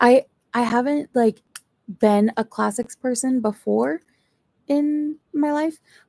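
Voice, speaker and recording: A woman speaks at a very slow pace in a high voice with a dark, mellow tone. The sound is dry and close, with no echo. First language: not English. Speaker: booktuber streamer. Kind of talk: live stream chat. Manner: casual, rambling.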